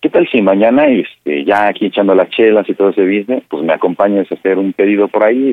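A man with fairly low pitch talks at a very fast pace, his loudness very even throughout. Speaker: caller. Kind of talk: prank call. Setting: phone call. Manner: halting, many fillers.

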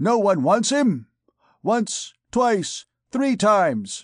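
A put-on character voice at a fairly high pitch moves at a very slow pace over a quiet background. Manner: mocking, showy.

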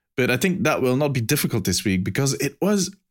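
With a Belgian accent, a man speaks at a moderate pace in a fairly high pitch, making very wide pitch swings. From Belgium. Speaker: podcast host. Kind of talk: casual chat. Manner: animated.

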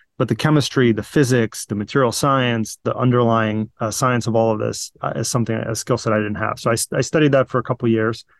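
With a plain, everyday voice, a man at medium pitch speaks at a fairly quick pace with fairly even intonation and hardly any pauses, the sound dry and close with no echo over a quiet background. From Virginia, US (moved from Ukraine/Russia at nine). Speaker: battery startup CEO and engineer. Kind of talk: interview.

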